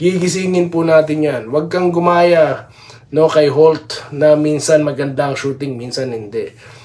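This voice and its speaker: Against background music, a man with a fairly high pitch talks at a fairly slow pace with fairly even intonation. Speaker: sports vlogger. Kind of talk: casual commentary and shoutouts. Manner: sleepy-sounding.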